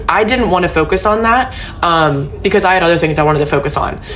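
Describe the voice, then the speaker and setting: A woman at a very fast pace, fairly low-pitched with ordinary pitch variation, amid audible room echo and music in the background. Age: 20s. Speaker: social media creator. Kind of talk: personal vlog monologue. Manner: casual, filler-heavy.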